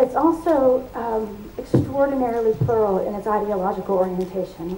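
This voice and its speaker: A woman's fairly high voice with an American accent and fairly even intonation, with audible room echo and noticeable background noise. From United States. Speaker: academic, labor network representative. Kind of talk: conference welcome speech.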